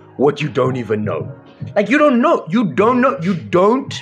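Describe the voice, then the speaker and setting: A man speaks at a fairly quick pace. Faint music sits in the background. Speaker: live stream host. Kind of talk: passionate monologue to viewers. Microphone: studio mic.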